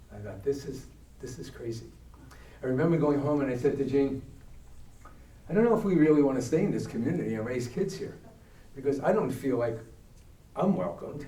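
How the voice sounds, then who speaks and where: A man with an American accent, a fairly high pitch, lively intonation and an animated tone, at a fairly quick pace with long, frequent pauses and audible room echo. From New York, Brooklyn. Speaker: diversity educator, retired teacher. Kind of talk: talk to church adult education class. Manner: animated storytelling.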